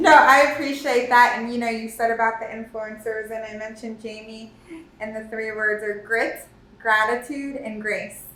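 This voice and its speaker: A woman with an American accent and a fairly high pitch speaks at a moderate pace with fairly even intonation and big swings in loudness, with audible room echo and noticeable background noise. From South Florida. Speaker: engineering firm co-founder. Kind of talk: interview podcast.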